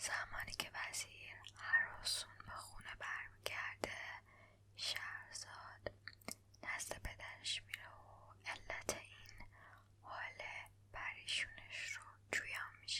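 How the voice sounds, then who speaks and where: A woman is whispering at a very slow pace. Her loudness swings widely. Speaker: ASMR creator and storyteller. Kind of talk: bedtime storytelling reading of a classic tale. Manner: soft, slow, relaxing.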